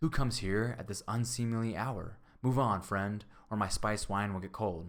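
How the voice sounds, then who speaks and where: In a put-on character voice, a man sounds gruff and growling at a moderate pace and fairly low pitch. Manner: growling, gruff.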